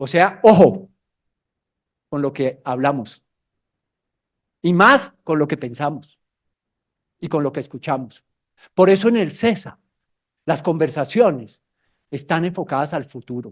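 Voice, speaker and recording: This man has a fairly high pitch and an animated tone, with lively intonation, a fairly slow pace, and long, frequent pauses. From Colombia. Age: 60s. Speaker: mountaineer and motivational speaker. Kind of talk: motivational talk to students. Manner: animated storytelling.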